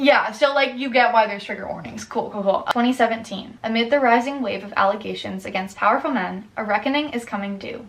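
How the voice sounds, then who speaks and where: A woman's fairly high voice, with ordinary pitch variation, comes across noticeable background noise. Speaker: booktuber. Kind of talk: casual chat. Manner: fast; animated.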